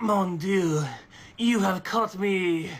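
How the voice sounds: A woman's put-on character voice in a French accent, medium in pitch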